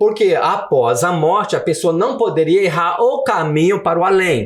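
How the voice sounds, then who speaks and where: Lively intonation marks a man's high-pitched voice. His loudness stays very even. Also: moderate pace. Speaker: author and former immigrant worker. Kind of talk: podcast interview. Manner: animated.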